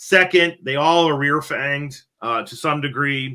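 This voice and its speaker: This man has a bright, sharp tone. He speaks at a fairly slow pace. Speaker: podcast host, reptile keeper. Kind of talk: casual podcast discussion. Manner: casual, filler-heavy with repetitions.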